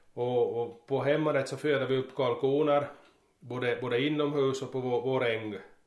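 Medium-pitched speech from a man with an Ostrobothnian accent, monotone and flat, at a moderate pace amid audible room echo. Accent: Finland-Swedish, Ostrobothnian dialect. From Ostrobothnia, Finland (Närpes). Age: 40s. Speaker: farmer. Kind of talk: interview. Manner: halting, many repetitions.

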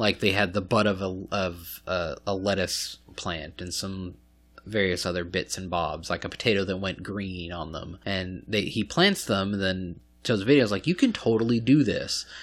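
The speech moves at a moderate pace with fairly even intonation over a quiet background. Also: man, very deep, low pitch for a man. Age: 30s. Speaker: podcast host. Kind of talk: casual chat. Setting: recording at a friend's home.

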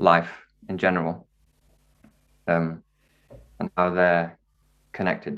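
A man speaks with a northern English accent. His voice is very deep and low, and the background is quiet. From northern England (Wakefield, Yorkshire). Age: young. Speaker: jazz violinist and composer. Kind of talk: casual interview chat.

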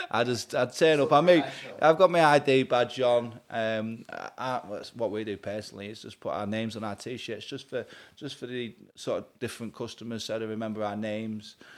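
A man speaks with big swings in loudness. The recording is very clean, with a silent background. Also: medium pitch for a man, ordinary pitch variation, fairly quick pace. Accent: Lincolnshire. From Grimsby, England. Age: 30s. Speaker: heating engineer and business owner. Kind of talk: casual interview chat.

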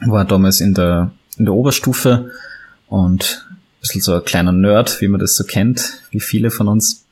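A man with a fairly low pitch, a moderate pace and fairly even intonation. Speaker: photographer and historical fencer. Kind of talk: interview.

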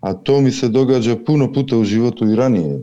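A man speaks with a Macedonian accent. His tone is dark and mellow. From North Macedonia. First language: Macedonian (speaking Croatian). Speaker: caller. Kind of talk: video call question to spiritual teacher.

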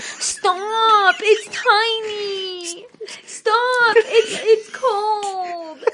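Here is a put-on character voice. Its pitch is extremely high.

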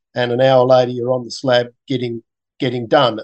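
Recorded with a dry, close sound, no echo, and a quiet background, a man with an Australian accent talks at a fairly quick pace and a medium pitch. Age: 60s. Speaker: scientist and cancer patient. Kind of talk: interview. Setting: video call. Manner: halting, many fillers. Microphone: poor Zoom audio.

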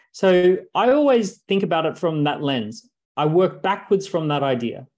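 A man with an Australian accent, talking at a fairly slow pace. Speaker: entrepreneur and author. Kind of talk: interview.

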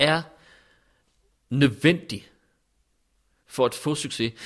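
Ordinary pitch variation comes with a very slow pace of delivery. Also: man. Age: 40s. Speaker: interviewee. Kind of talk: personal testimony. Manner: halting.

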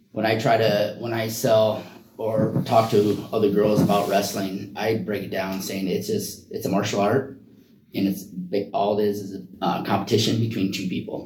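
Speaking at a moderate pace in a monotone, flat intonation, a man with a fairly low pitch is heard with audible room echo and noticeable background noise. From Iowa. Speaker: wrestling coach and special education paraprofessional. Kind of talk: interview. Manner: halting.

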